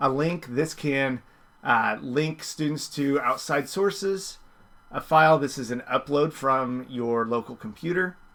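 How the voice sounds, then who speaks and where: A man with a plain, everyday voice, fairly high in pitch with ordinary pitch variation, at a fairly slow pace on a very clean recording with a silent background. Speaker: teacher. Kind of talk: tutorial. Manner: casual, filler words.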